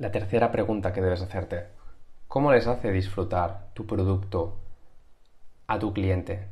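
A man with a fairly low, somewhat breathy voice speaks at a fairly slow pace with fairly even intonation. He leaves long, frequent pauses against a quiet background. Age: 30s. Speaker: YouTuber teaching sales and persuasion; YouTuber teaching sales. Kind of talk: tutorial. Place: home room. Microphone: webcam.

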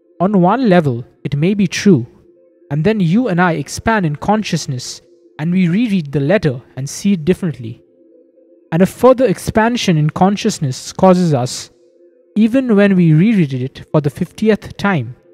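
The voice moves at a moderate pace. Faint music plays in the background. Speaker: lecturer. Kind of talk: lecture. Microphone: old recording.

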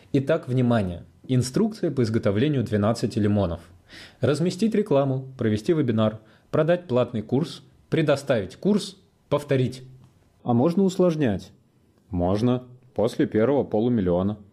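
Against a silent background in a very clean recording, a man with a dark, mellow tone swings very widely in pitch while keeping his loudness very even, leaving long, frequent pauses. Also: medium pitch for a man, moderate pace. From Russia, Saint Petersburg. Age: 20s. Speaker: online business coach. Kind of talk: sales pitch. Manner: animated.

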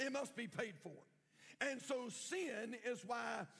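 A man speaks with a North Carolina accent. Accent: Southern US (North Carolina). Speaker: pastor. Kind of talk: sermon. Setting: church.

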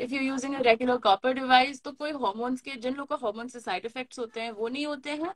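A woman speaks at a very fast pace with hardly any pauses, in a high pitch and fairly even intonation. Her loudness swings widely over a quiet background. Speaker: live stream host and health educator; live stream host, health educator. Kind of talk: live Q&A discussion in Hindi-English mix. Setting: livestream video call. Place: home room. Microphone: video call.

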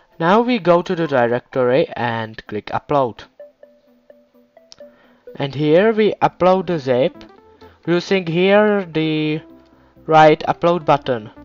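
A man speaks very slowly at a fairly high pitch, leaving long, frequent pauses. Music plays in the background, and the sound is dry and close with no echo. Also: lively intonation. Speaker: game server tutorial maker. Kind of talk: software tutorial narration.

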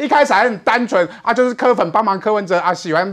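This man talks at a very fast pace, his high pitch showing ordinary variation. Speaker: political commentator. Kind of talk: political talk show panel.

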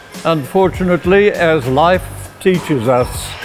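Faint music plays behind a man speaking at a very slow pace. His pitch varies in an ordinary way. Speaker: gym member. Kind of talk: testimonial talk to camera. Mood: reflective, grateful. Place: gym. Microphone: lapel.

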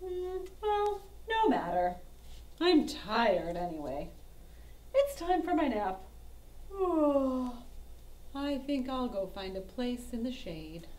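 A woman puts on a high-pitched cartoonish character voice. She speaks fairly slowly with long, frequent pauses over clear background noise. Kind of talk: children's puppet show.

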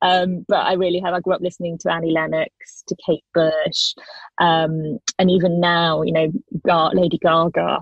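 A woman's fairly low pitch with a British accent and monotone, flat intonation. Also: moderate pace. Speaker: singer-songwriter. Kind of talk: radio interview.

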